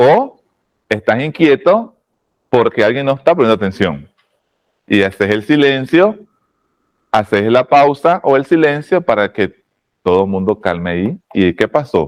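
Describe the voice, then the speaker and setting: The sound is dry and close, with no echo. A man speaks fairly slowly, his intonation lively. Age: 40s. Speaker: oratory teacher. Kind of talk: lecture. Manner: lowered volume.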